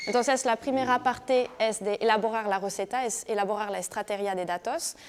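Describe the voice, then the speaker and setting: A woman speaks in a French accent at a fairly high pitch. Her pitch varies in an ordinary way. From France. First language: French (speaking Spanish). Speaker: digital marketing professional. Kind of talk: presentation. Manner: halting.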